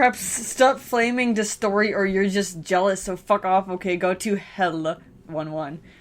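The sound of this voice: Pitch varies in an ordinary way across an unforced reading voice.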